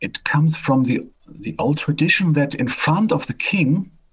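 With vocal fry and very wide pitch swings, a man talks at a fairly slow pace. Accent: German. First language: German. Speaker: professor and medical doctor. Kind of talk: interview.

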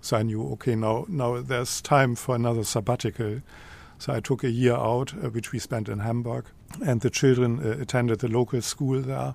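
A man speaks with a German accent at a medium pitch. His pace is fairly quick and his intonation fairly even. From Germany, Lower Saxony. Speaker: professor of modern languages. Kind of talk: casual interview.

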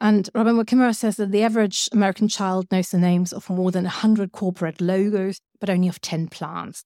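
In a German accent, a woman with a medium pitch and a dark, mellow tone talks at a very fast pace with hardly any pauses and fairly even intonation, in a dry, close sound with no echo on a very clean recording with a silent background. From Germany. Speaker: writer and cultural scientist. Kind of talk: lecture.

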